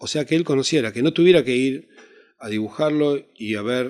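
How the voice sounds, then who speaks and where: Speech in a Rioplatense accent moves at a fairly quick pace. The recording is very clean, with a silent background. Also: man. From Argentina. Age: 60s. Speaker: actor. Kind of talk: interview. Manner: halting.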